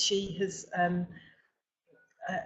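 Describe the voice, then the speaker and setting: The woman's voice is somewhat breathy. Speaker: webinar host, recruitment company owner. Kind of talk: webinar presentation. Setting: online webinar from office. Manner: halting, many fillers and repetitions.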